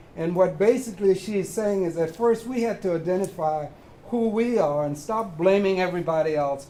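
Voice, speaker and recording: The delivery has ordinary pitch variation and a moderate pace. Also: man. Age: 80s+. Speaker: audience member, community project founder. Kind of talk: audience question at public forum.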